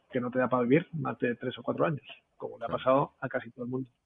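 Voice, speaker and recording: A man at a fairly quick pace. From Spain. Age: 40s. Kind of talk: casual interview chat. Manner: animated, swears a lot.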